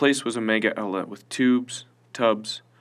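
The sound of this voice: Unforced voice for reading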